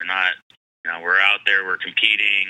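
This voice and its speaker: This is a man speaking with an American accent. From US West Coast, San Diego. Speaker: former pro baseball player. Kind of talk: casual interview.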